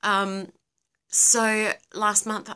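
A woman speaks with an Australian accent. Her tone is bright and sharp. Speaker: livestream host; live streamer. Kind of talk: casual live Q&A. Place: home room. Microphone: phone near.

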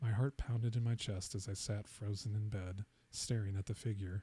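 Whispering, a soft-spoken man sounds somewhat breathy in a dry recording with no echo. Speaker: ASMR storyteller. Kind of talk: first-person ghost story read aloud as a bedtime-style narration. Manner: soft-spoken, hushed near-whisper delivery; slow, suspenseful pacing that lingers on the knocks. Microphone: studio mic.

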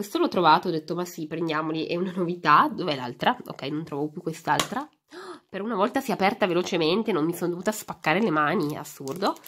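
A woman talks at a very fast pace with lively intonation and a fairly low pitch, with light background noise behind her. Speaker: YouTuber, toy unboxing; YouTuber. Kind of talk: casual unboxing vlog. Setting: home, behind the camera. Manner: animated. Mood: cheerful, chatty. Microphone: phone near.

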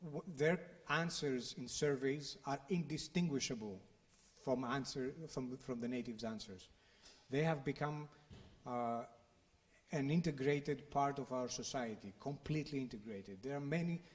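A somewhat breathy man's voice with a Greek accent, fairly high pitched for a man, with ordinary pitch variation. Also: moderate pace. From Greece. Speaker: think tank director, former journalist; speaker. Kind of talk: panel discussion. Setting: stage with audience. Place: hall.

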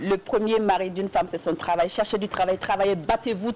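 Over light background noise, a woman talks at a moderate pace with an animated tone and ordinary pitch variation. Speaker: TV co-host. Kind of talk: casual chat. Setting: TV studio. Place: studio.

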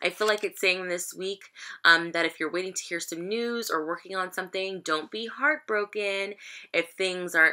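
A woman's bright, sharp voice at a moderate pace, with ordinary pitch variation and a quiet background. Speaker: tarot reader. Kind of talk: casual reading commentary. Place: home room. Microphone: webcam.

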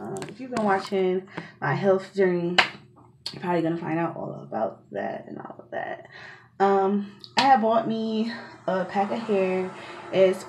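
A woman at a fairly slow pace, with big swings in loudness, ordinary pitch variation and noticeable background noise. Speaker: hair vlogger. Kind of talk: casual vlog chat. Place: home room. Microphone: phone near.

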